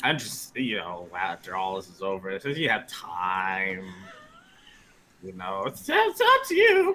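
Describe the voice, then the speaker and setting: A man puts on a character voice at a fairly low pitch, talking fairly slowly with big swings in loudness. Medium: actual play. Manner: hesitant, polite.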